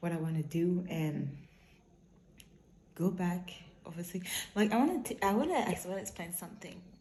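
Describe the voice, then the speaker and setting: A woman's fairly low, somewhat breathy voice at a fairly quick pace, with ordinary pitch variation, long, frequent pauses and audible room echo. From Quebec. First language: French. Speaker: vlogger. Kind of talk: casual vlog monologue. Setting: outdoors while jogging. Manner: halting, self-correcting.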